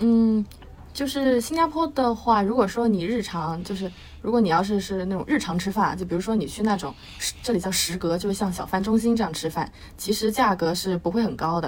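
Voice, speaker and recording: With noticeable background noise, a woman talks at a fairly quick pace. Her medium-pitched voice has lively intonation. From Beijing, China. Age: 20s. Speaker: university student. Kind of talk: casual interview chat.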